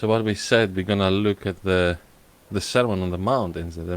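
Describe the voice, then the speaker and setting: A man with a Greek accent and a very deep, low pitch. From Greece. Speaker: podcast host. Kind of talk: casual chat. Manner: halting.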